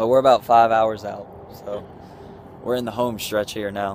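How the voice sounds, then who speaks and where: Over light background noise, a man speaks fairly quickly in a fairly low, monotone, flat voice, with a dry sound and no echo. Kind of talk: casual vlog chat. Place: street. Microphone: phone near.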